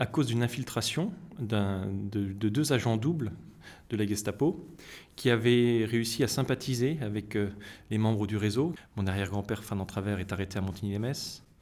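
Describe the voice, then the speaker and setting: A man's fairly low voice at a moderate pace, with ordinary pitch variation and long, frequent pauses, in a very clean recording over a silent background. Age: 30s. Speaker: association secretary and doctor. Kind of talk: interview. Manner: halting.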